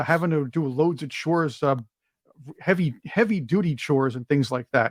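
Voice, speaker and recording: A man with a plain, everyday voice, fairly high in pitch, with ordinary pitch variation at a moderate pace, in a dry, close sound with no echo. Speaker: podcast host. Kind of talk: interview question.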